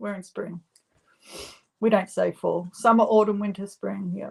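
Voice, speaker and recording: In an Australian accent, the speaker moves at a moderate pace, with big swings in loudness and long, frequent pauses. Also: woman. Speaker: live stream co-host. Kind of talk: casual chat. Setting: live stream with chat.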